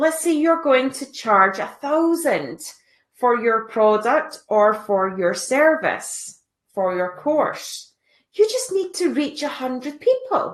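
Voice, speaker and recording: A woman's high-pitched voice in a Scottish accent, very slow, with very wide pitch swings. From Scotland. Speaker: online business coach. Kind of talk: live stream tutorial. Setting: live stream. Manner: casual.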